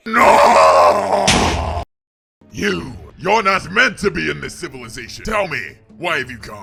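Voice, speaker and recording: A man puts on a character voice at a medium pitch and a fairly slow pace. Faint music plays in the background. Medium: machinima. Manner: grandiose, melodramatic.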